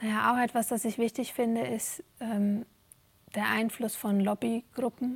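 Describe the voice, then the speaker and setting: A woman's somewhat breathy, fairly high-pitched voice comes through in a dry, close sound with no echo. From Germany. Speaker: stage actor and dramaturge. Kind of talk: interview. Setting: theatre. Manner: halting, many fillers.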